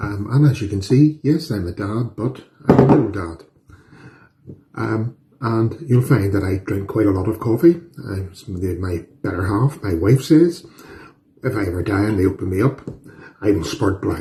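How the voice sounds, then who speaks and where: With an Irish accent, a man of fairly low pitch talks at a moderate pace, using lively intonation and long, frequent pauses. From Northern Ireland. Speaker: home cooking youtuber. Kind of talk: cooking tutorial. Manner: casual, chatty with fillers.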